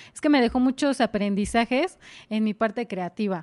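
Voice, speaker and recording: A woman speaks in a plain, everyday voice with a fairly high pitch and lively intonation. Her moderate pace comes through in a dry, close sound with no echo. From Mexico, Morelos (Jiutepec). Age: 20s. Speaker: stage actress. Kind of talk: casual interview chat.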